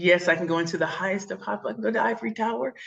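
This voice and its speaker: Talking at a very fast pace, a woman has an animated tone and vocal fry. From St. Louis, Missouri (inner city). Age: 40s. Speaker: keynote speaker and pitch coach. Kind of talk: interview.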